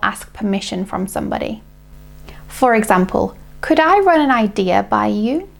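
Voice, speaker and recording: In a British accent, a woman talks at a moderate speed. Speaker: English teacher. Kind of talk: English lesson to camera.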